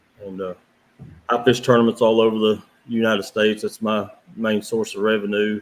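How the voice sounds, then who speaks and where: With an Appalachian accent, a man with a fairly low pitch talks at a fairly quick pace. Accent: Appalachian American. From southern West Virginia, Wayne County. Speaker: professional tournament kayak angler. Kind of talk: podcast interview.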